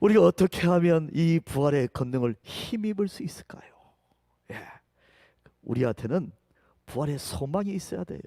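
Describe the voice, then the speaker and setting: A man with a dark, mellow tone and a fairly high pitch speaks at a moderate pace with lively intonation and long, frequent pauses, in a dry, close sound with no echo. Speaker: pastor. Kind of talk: sermon.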